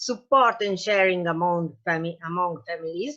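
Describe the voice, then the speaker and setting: A woman with an Italian accent speaks at a medium pitch. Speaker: patient association president and parent advocate. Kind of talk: reading aloud. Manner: halting.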